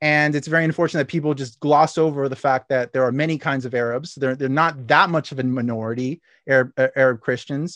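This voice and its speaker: The speech runs at a very fast pace with hardly any pauses, in a dry, close sound with no echo against a quiet background. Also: man, fairly high pitch for a man, fairly even intonation. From Chile. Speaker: podcast guest, online commentator. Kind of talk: casual interview.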